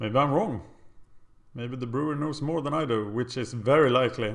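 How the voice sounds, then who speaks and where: A man with a Swedish accent, with audible room echo. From Sweden. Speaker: gaming video creator. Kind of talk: gameplay commentary. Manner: casual, thinking aloud.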